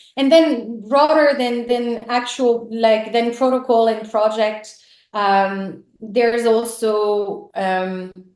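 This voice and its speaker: Speaking very slowly with a French accent, a woman uses a fairly high pitch and ordinary pitch variation. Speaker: team member of a crypto project. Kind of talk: conversational business talk. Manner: hesitant, many fillers and restarts.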